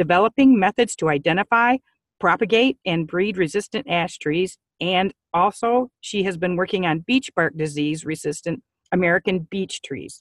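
Her intonation is lively and her pace moderate. The woman's recording sounds dry with no echo over a quiet background. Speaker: webinar host. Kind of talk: scripted introduction and announcements. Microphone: video call.

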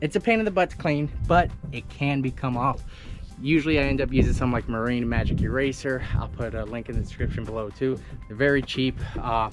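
A man talks fairly quickly. Clear music is heard behind his voice. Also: ordinary pitch variation. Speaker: boat owner reviewer. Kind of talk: casual vlog chat. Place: boat. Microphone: phone near.

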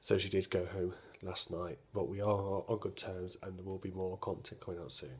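Somewhat breathy speech at a moderate pace. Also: man. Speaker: vlogger. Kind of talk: casual vlog chat. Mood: serious, recounting a stabbing. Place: home room. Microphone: phone near.

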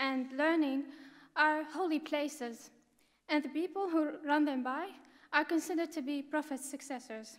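A woman's high voice at a moderate pace, with ordinary pitch variation and a quiet background. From Syria. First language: Arabic. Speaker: refugee student; speaker. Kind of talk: prepared speech. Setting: stage with audience at academic ceremony. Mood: earnest, grateful. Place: hall. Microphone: podium.

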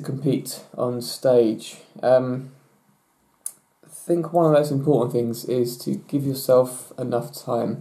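A man talks at a fairly slow pace with fairly even intonation and a medium pitch. His tone is dark and mellow against a quiet background. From England. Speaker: natural bodybuilder; bodybuilder vlogger. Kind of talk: Q&A vlog. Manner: hesitant, many fillers. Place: home room. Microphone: webcam.

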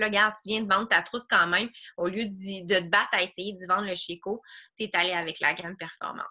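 Over a quiet background, a woman with a Quebec accent talks at a very fast pace in a bright, sharp tone, her loudness swinging widely while her intonation stays fairly even. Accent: Québécois French. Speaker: online fitness coach. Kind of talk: group coaching video call. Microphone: video call.

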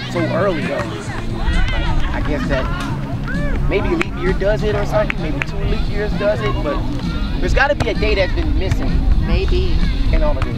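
Loud music plays in the background as the speaker goes at a moderate pace with long, frequent pauses, the sound dry with no echo. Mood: playful, laughing. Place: beach. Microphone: camera far.

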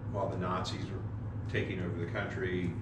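Over loud background noise and audible room echo, a man talks at a fairly slow pace. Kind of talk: informal lecture. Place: church. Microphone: camera far.

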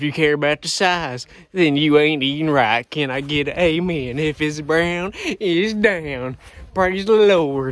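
A man speaks at a fairly slow pace with ordinary pitch variation, in a dry sound with no echo. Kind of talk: casual vlog chat. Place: garden. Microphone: phone near.

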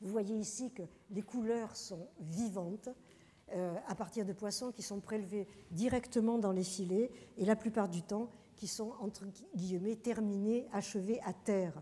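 This woman talks at a fairly slow pace with fairly even intonation. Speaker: professor and journal editor, lecturer; professor, lecturer. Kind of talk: lecture. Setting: lecture hall with audience. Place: hall.

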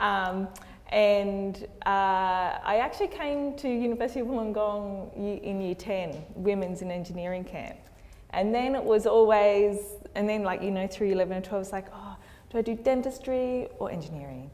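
At a moderate pace, a woman with an Australian accent speaks with ordinary pitch variation. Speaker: structural engineer; panelist. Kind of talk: panel discussion. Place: hall.

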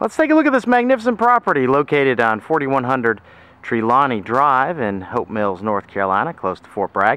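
Bright and sharp in tone, a man's voice moves at a fairly quick pace with a dry sound and no echo. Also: big swings in loudness. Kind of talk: property tour commentary. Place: street. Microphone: phone near.

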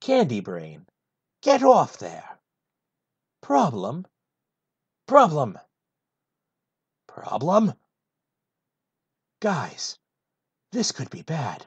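This is a put-on character voice at a middle pitch. It moves at a very slow pace, broken by long, frequent pauses. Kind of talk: comedic full script read in a character voice.

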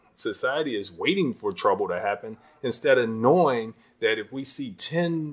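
A man with a normal speaking voice and an American accent, fairly high in pitch, at a fairly slow pace with lively intonation, in a very clean recording with a silent background. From Chicago, west side (Austin). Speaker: state politician. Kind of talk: interview. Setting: in his office.

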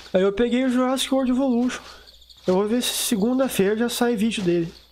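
Against noticeable background noise, a man with an extremely high-pitched voice talks at a fairly quick pace. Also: ordinary pitch variation. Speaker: gaming youtuber. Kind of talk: gameplay commentary. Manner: fast; casual, unpolished.

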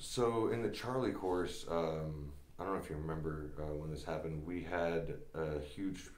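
With audible room echo around him, a man speaks at a moderate pace in a very deep, low voice with ordinary pitch variation. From New Jersey, moved from Russia at five. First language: Russian. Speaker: Green Beret soldier; podcast guest or host. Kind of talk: casual chat. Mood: relaxed, recounting memories. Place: studio.

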